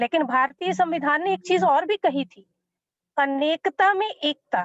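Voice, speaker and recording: A woman speaks with a Punjabi accent. Her pitch is high and her intonation lively. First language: Punjabi (speaking Hindi). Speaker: academic panelist. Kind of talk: panel talk.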